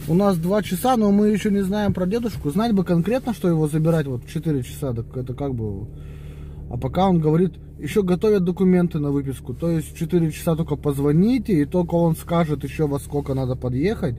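Fairly quick in pace, a man speaks in a dry sound with no echo over light background noise. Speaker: family vlogger. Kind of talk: casual vlog chat. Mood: relaxed, planning errands. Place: car. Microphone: phone near.

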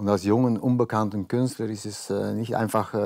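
A man with a dark, mellow tone speaks at a moderate pace and a fairly low pitch. The background is quiet. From Belgium. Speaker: painter, former model; guest. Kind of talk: casual talk show interview. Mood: relaxed, reflective. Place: studio. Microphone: lapel.

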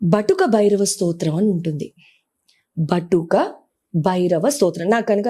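A woman's medium-pitched, dark, mellow voice with a non-native accent and ordinary pitch variation. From grew up partly outside Telugu states, moved there at 14. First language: not Telugu (speaking Telugu). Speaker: astrologer and numerologist. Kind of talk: interview advice talk.

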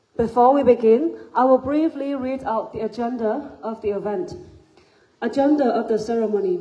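The background is quiet. A woman speaks at a fairly high pitch. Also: ordinary pitch variation. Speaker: master of ceremonies. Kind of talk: ceremony announcements. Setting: stage with audience. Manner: formal. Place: hall. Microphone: pa.

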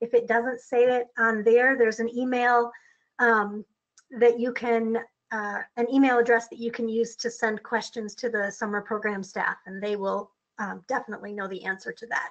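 Fairly high-pitched woman with fairly even intonation and a normal speaking voice. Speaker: webinar presenter. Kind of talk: webinar Q&A. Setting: online webinar.

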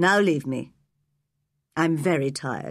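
In a very clean recording with a silent background, a woman speaks slowly in a low, put-on character voice with ordinary pitch variation.

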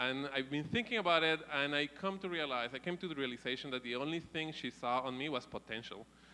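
A man with a bright, sharp tone, fairly high pitch, a very fast pace and hardly any pauses. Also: ordinary pitch variation. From Colombia; Bogota. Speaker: startup founder and angel investor giving a talk. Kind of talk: lightning talk. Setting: stage with audience. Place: stage. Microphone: handheld.

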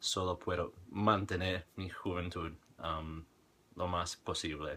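Very deep and low in pitch, a man speaks at a very slow pace. His tone is bright and sharp, with fairly even intonation. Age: 30s. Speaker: language-learning vlogger. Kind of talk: casual monologue vlog. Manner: halting, many fillers. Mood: reflective, calm. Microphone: webcam.

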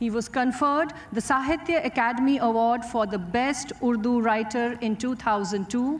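A woman speaks at a fairly slow pace in a high voice, with ordinary pitch variation. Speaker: event emcee. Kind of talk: formal announcement. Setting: stage with audience. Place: stage. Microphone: podium.

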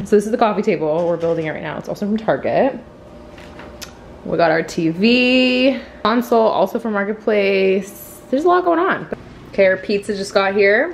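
A woman's lively intonation at a moderate pace over light background noise. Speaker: lifestyle vlogger. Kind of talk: casual vlog chat. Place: home room. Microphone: phone near.

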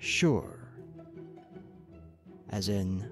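Clear music plays behind a man speaking with an American accent. The sound is dry, with no echo. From Northern California. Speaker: ASMR creator. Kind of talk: ASMR accent tag, word list reading. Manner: soft-spoken, relaxing. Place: home room. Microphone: studio mic.

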